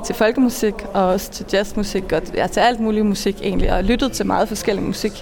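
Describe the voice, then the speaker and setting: Over noticeable background noise, a woman speaks at a moderate pace with monotone, flat intonation. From Denmark, Funen. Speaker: cellist, singer and composer. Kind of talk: interview. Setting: outdoors at a train station.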